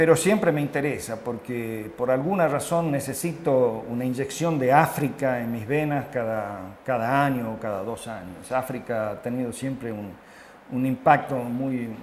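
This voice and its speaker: Through audible room echo and noticeable background noise, a man at a medium pitch speaks at a fairly slow pace with ordinary pitch variation. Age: 70s. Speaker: international health consultant. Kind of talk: interview. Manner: hesitant, with fillers.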